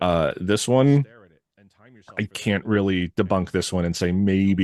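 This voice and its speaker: A very deep, low-pitched man's voice with an American accent. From Connecticut, Litchfield County. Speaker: podcast host. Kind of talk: reading witness reports with commentary. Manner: casual, with filler words.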